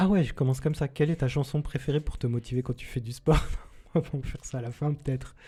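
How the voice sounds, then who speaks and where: A man speaks very fast at a fairly high pitch, his intonation fairly even. The tone is dark and mellow, somewhat breathy. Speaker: podcast host. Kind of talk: interview; podcast intro. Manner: hesitant, many fillers.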